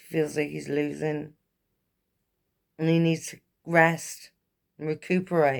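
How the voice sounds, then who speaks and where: With a very deep, low pitch, a woman speaks in a flat monotone at a fairly slow pace, leaving long, frequent pauses. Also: big swings in loudness. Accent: English. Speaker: tarot reader. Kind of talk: tarot reading monologue.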